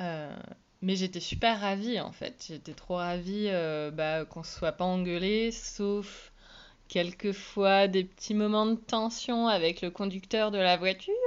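The speaker goes at a very slow pace with fairly even intonation. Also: woman, medium pitch for a woman. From Iceland. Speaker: podcast co-host and touring musician. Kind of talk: personal storytelling. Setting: solo home recording.

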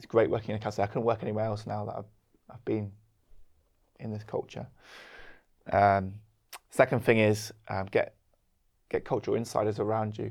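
At a moderate pace, the speech comes in a monotone, flat intonation with long, frequent pauses and big swings in loudness, recorded very cleanly against a silent background. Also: man, fairly low pitch for a man. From London, England. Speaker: co-pastor. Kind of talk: casual chat.

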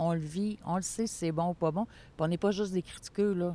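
A woman with a Quebec accent, medium in pitch, with a dark, mellow tone and a fairly quick pace. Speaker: board president of a mental health network. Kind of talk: interview.

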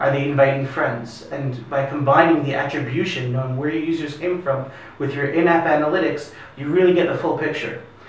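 Over noticeable background noise and audible room echo, a man with an American accent talks at a fairly quick pace with fairly even intonation. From US. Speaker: product marketing executive. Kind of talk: interview.

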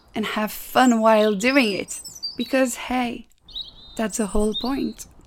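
Against noticeable background noise, a woman with a Belgian accent speaks at a fairly high pitch. Her intonation is fairly even. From Belgium. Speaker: podcast host. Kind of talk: interview.

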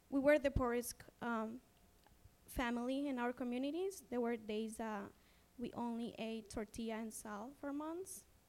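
A woman speaks in a Honduran accent with a high pitch. Her pitch variation is ordinary. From Honduras. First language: Spanish. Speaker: social advocate and immigrant storyteller. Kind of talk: panel talk sharing personal story. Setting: stage with audience.

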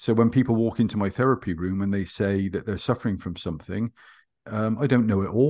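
Against a quiet background, a man with a West Country accent talks at a fairly quick pace in a fairly low pitch. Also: ordinary pitch variation. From West Country, England. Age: 50s. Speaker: hypnotherapist and former police officer. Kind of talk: interview.

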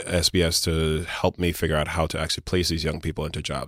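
Speaking in a New York accent, the voice keeps a monotone, flat intonation. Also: man, very clean recording, silent background. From Brooklyn, New York (born in Grenada, moved at seven). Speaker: city government commissioner. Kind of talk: podcast interview. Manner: casual with frequent fillers.

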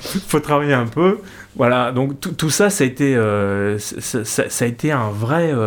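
With a medium pitch and lively intonation, a man delivers his words at a very slow pace. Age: 50s. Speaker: guitarist. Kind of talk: casual chat. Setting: home cellar studio.

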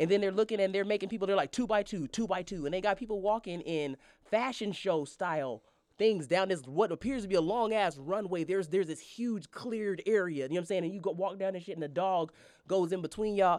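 Speaking at a very fast pace, a woman shows ordinary pitch variation. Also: medium pitch for a woman. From Colorado. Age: 30s. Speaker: spoken word artist and comedian. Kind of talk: casual chat.

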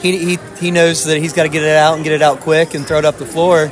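Music plays in the background as a man talks at a fairly quick pace. His pitch sits fairly high. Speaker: assistant basketball coach. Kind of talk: casual interview.

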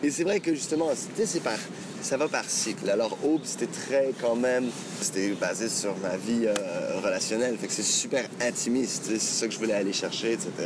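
A medium-pitched man speaks at a moderate pace with lively intonation and very even loudness. Noticeable background noise runs underneath. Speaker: singer-songwriter. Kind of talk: interview. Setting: outdoors. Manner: halting.

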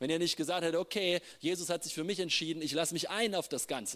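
The man speaks at a very fast pace. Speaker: preacher. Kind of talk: sermon. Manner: animated; halting.

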